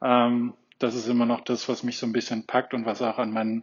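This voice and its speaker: The speaker talks at a moderate pace with monotone, flat intonation. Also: man. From Berlin, Germany. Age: 30s. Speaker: physiotherapist and runner. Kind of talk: interview.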